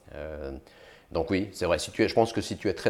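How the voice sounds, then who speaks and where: On a very clean recording with a silent background, a man rattles along at a very fast pace. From France-Switzerland border region (Thonon, Geneva, Lausanne). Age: 40s. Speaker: big-wave surfer and entrepreneur. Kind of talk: interview conversation.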